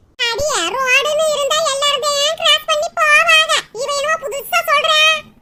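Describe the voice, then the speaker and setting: A squeaky, cartoonish character voice at an extremely high pitch moves along at a fairly slow pace. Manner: scolding, grumbling.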